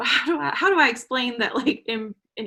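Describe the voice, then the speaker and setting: Lively intonation and a moderate pace mark this voice in a Southern US accent. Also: woman. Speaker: online English teacher and adjunct professor. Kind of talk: interview. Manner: frequent filler 'um'.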